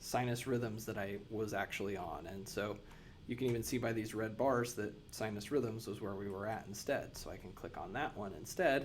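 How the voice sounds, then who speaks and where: A man talks at a medium pitch and a moderate pace, with ordinary pitch variation. Room echo is audible. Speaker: nurse educator. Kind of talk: tutorial.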